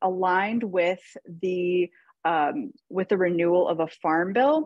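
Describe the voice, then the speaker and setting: A very slow pace in a dry, close sound with no echo. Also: woman. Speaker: nonprofit policy advocate. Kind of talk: webinar presentation.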